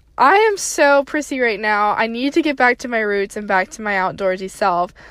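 In a very clean recording with a silent background, a woman with an American accent speaks at a fairly high pitch and moderate pace with lively intonation. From Tennessee, US South. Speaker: podcast host. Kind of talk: casual monologue. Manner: frequent fillers.

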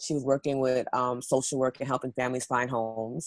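A woman speaks at a fairly quick pace with a New York accent. Her very deep, low pitch stays monotone and flat, in a dry, close sound with no echo. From New York City. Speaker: spiritual wellness practitioner and model. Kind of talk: podcast interview.

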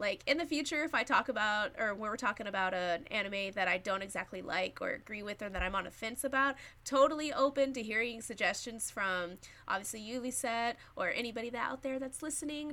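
Speaking at a fairly quick pace with hardly any pauses, a woman with an American accent has a fairly high pitch, ordinary pitch variation and a bright, sharp tone on a very clean recording with a silent background. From Texas. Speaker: podcast host. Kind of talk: casual chat.

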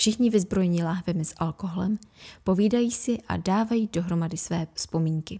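A woman talks at a moderate pace with medium pitch, ordinary pitch variation, and a somewhat breathy, dark, mellow tone. The recording is very clean, with a silent background and a dry, close sound with no echo. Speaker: podcast host. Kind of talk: horror audiobook reading.

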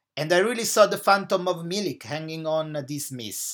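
Very clean recording with a silent background, featuring a high-pitched man with an Italian accent. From Italy, Naples. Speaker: football podcaster. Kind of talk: match analysis podcast. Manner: hesitant, many filler uhs.

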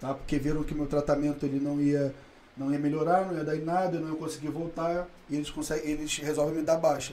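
Delivery is very fast and monotone, with flat intonation. Audible room echo and noticeable background noise surround it. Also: man, fairly high pitch for a man. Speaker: day trader. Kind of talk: casual chat.

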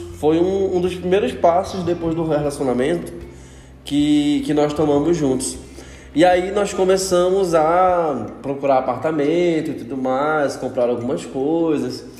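With a relaxed tone, a man talks at a fairly slow pace in a fairly high pitch with ordinary pitch variation, amid audible room echo and noticeable background noise. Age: 20s. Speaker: podcast host. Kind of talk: casual solo monologue. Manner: relaxed, informal.

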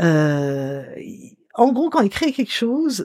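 A woman speaks fairly slowly in a dark, mellow tone. The sound is dry and close with no echo, on a very clean recording with a silent background. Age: 60s. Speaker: writer and storyteller. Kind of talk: interview, personal memories.

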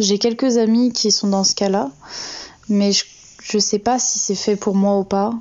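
Fairly slow delivery with long, frequent pauses, fairly even intonation and very even loudness. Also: woman, medium pitch for a woman. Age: 20s. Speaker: listener sending a voice message. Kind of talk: recorded voice testimony.

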